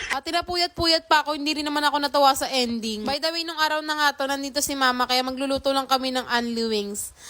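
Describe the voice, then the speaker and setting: Raising and projecting her voice, a woman talks at a very fast pace with a high pitch and ordinary pitch variation, over noticeable background noise. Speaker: vlogger. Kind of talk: vlog voice-over. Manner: casual, unscripted. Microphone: no microphone, speaks into speaker.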